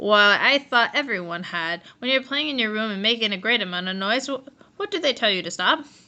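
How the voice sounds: What you hear is a natural reading voice.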